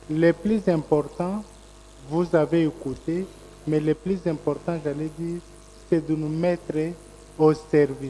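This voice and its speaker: A man speaks at a very slow pace with fairly even intonation, leaving long, frequent pauses. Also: fairly high pitch for a man. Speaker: media federation representative. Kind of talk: press conference closing remarks. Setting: conference room with audience, streamed online.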